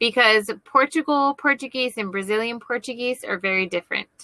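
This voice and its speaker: Speaking at a moderate pace with an American accent, a woman uses lively intonation and a bright, sharp tone at a fairly high pitch, captured in a very clean recording with a silent background and a dry, close sound with no echo. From United States. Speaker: online English tutor. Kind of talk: casual chat.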